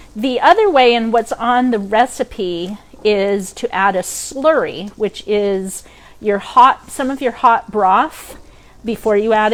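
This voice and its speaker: The voice carries a Maine accent and ordinary pitch variation. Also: woman. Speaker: cooking instructor. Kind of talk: cooking demo. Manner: casual, many fillers.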